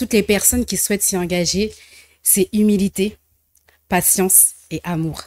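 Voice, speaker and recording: Recorded very cleanly with a silent background and a dry, close sound with no echo, a woman speaks at medium pitch and a fairly slow pace, with fairly even intonation and long, frequent pauses. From French diaspora, left Congo very young. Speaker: social entrepreneur, association founder. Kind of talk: TV interview.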